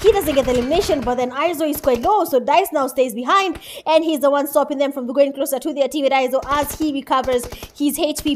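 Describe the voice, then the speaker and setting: The pace is very fast and the tone animated. Noticeable background noise runs underneath. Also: woman. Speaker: esports caster. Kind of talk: live commentary.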